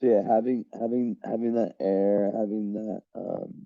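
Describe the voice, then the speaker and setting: In a dry, close recording with no echo, a man speaks at a medium pitch with a dark, mellow tone and monotone, flat intonation. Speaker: astrologer. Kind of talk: astrology chart reading. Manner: casual, hesitant.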